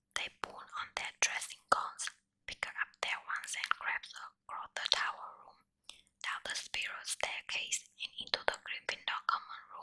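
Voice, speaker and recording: A woman whispering at a fairly slow pace. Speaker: ASMR content creator. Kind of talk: softly whispered ASMR bedtime story reading. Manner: whispered, soft.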